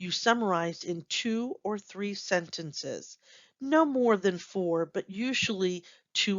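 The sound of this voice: Someone reads in an unforced reading voice against a quiet background.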